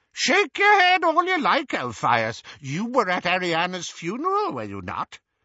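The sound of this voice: Putting on a character voice, a man speaks at a high pitch with very wide pitch swings and a bright, sharp tone, going at a fairly slow pace in a dry, close sound with no echo.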